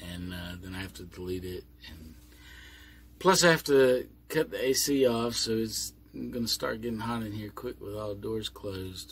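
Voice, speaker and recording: A man's somewhat breathy voice at a fairly low pitch, with big swings in loudness. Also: lively intonation. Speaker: vlogger living on a boat. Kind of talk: casual vlog monologue. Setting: inside a boat cabin, doors closed. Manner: slow.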